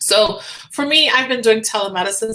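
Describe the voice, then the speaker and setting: An animated tone and lively intonation, with a Trinidadian accent. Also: woman. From Trinidad and Tobago (Tobago). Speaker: physician. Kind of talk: live stream chat. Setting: live video stream.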